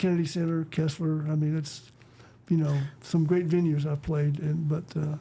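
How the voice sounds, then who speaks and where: In a Texan accent, a man with a fairly high pitch and a dark, mellow tone speaks at a moderate pace. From West Texas. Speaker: conservationist, author and performer. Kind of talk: casual interview chat. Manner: animated storytelling.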